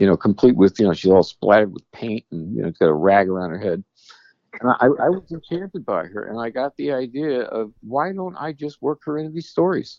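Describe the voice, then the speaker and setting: A man talks at a fairly quick pace in a medium pitch, with very wide pitch swings and big swings in loudness. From New York City, Queens. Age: 70s. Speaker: retired author and navy historian. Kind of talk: phone interview. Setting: phone call.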